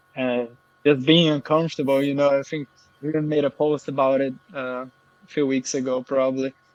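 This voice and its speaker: Speaking with a Portuguese accent, a man with a fairly high pitch talks at a moderate pace in monotone, flat intonation, his loudness swinging widely, in a dry, close sound with no echo. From Brazil. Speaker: affiliate marketer. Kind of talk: interview.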